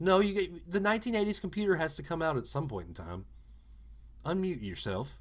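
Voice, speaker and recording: Animated in tone, a man with an American accent speaks at a high pitch with lively intonation. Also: moderate pace. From Alabama, US South. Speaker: podcast host. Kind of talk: casual chat.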